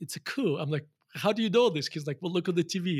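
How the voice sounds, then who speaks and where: In a very clean recording with a silent background, a man with a Russian accent speaks with ordinary pitch variation. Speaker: value investor. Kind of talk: interview conversation.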